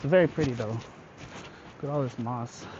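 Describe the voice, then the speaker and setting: Someone speaks at a fairly slow pace with an American accent amid noticeable background noise. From California. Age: adult. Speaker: travel vlogger. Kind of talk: casual vlog narration. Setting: outdoors on a trail.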